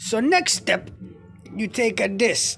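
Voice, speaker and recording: Faint music plays in the background. The pace is fairly slow. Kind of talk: casual cooking tutorial. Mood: playful, joking. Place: kitchen. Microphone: phone near.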